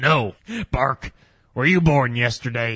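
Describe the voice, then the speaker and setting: Using a put-on character voice, a man talks at a fairly slow pace. His pitch sits in the medium range. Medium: audio drama. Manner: peppers speech with "bark", laughs a lot.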